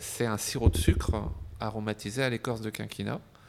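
Delivered at a fairly slow pace, a man's voice comes through with fairly low pitch. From France, Burgundy (Dijon). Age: 50s. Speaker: gin entrepreneur. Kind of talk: interview. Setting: his shop. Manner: halting, repeated words.

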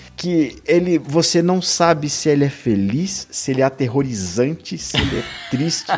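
Music plays in the background as a man speaks with lively intonation. His pitch is fairly high and his loudness very even. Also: moderate pace. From São Paulo, Brazil. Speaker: music podcaster. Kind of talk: casual chat.

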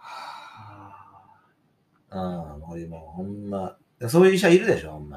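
Delivered at a fairly slow pace, the speech has long, frequent pauses and big swings in loudness. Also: man. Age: 40s. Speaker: podcast host. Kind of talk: casual chat.

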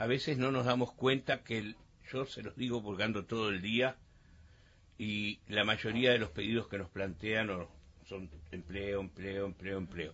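A man at a fairly low pitch, fairly slow, with long, frequent pauses. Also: ordinary pitch variation. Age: 60s. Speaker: mayor. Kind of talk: radio interview.

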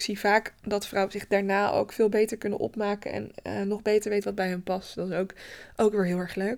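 The woman's intonation is monotone and flat, delivered at a moderate tempo. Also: very clean recording, silent background. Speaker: photographer and podcast host. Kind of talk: casual solo podcast monologue. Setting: daylight photo studio. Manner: hesitant, many filler sounds.

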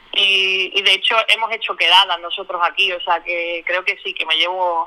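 Against noticeable background noise, a woman speaks at a moderate pace. Her medium-pitched voice stays monotone, with flat intonation. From Spain, Málaga (Andalusia). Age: 30s. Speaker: volunteer, sales promoter. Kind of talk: testimony interview. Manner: halting, repeats words.

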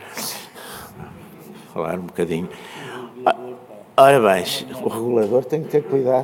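A man at medium pitch speaks at a moderate pace with lively intonation. He leaves long, frequent pauses, his loudness swings widely, and background noise is noticeable. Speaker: panel speaker. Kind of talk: panel talk.

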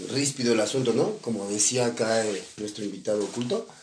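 There's audible echo from the room and noticeable noise in the background as this man talks. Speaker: podcast co-host. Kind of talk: casual chat.

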